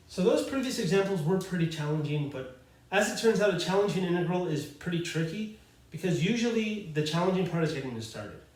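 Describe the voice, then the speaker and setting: A man speaks with lively intonation at a fairly quick pace, with audible room echo and noticeable background noise around him. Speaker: math teacher. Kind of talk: lecture. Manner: fast; casual, with fillers.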